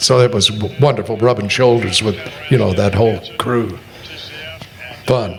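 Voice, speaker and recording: Long, frequent pauses from a man of medium pitch at a moderate pace, his intonation fairly even, with audible room echo and music in the background. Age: 80s+. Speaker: retired radio newsman and writer. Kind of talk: on-stage interview, casual reminiscing. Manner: halting, repeating words.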